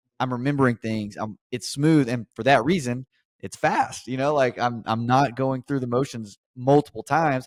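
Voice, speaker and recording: The recording is dry and close, with no echo. A man speaks at a medium pitch with fairly even intonation. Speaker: podcast host. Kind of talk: casual interview chat. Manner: fast.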